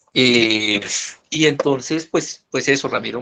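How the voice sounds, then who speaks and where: A man speaks with a medium pitch and ordinary pitch variation. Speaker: business consultant. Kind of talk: online presentation. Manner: hesitant, many repetitions.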